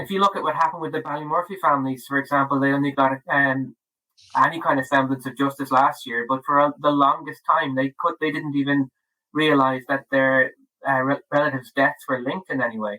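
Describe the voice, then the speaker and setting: Fairly even intonation in a bright, sharp tone, dry and close with no echo. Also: man, fairly high pitch for a man, fairly quick pace. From Ireland, Dublin. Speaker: author. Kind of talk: podcast interview. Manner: halting, many fillers and restarts.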